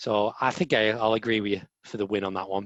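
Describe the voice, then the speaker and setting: A man speaks with an English accent. His voice is fairly low and his pace moderate. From England. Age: 20s. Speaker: podcast co-host. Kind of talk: casual chat.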